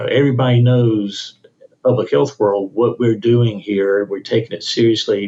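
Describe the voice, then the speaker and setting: A man talks with a Mississippi accent. His pitch is medium. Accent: Mississippi Southern US. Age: 60s. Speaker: state health officer, physician. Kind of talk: podcast interview.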